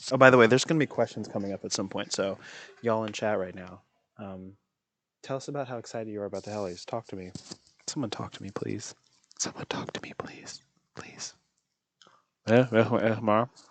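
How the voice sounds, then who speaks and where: Very fast speech broken by long, frequent pauses. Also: man, fairly low pitch for a man, big swings in loudness. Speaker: podcast host. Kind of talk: casual chat. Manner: animated.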